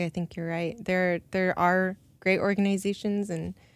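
Her intonation monotone and flat, a woman with an American accent talks at a moderate pace. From Minnesota, US. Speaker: artist and illustrator. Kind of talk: interview.

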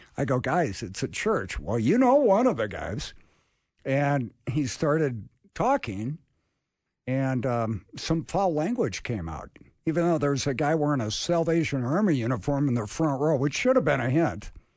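In an unremarkable speaking voice, a man with fairly high pitch and lively intonation speaks at a moderate pace over a quiet background. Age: 60s. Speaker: radio co-host. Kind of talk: casual chat. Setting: studio.

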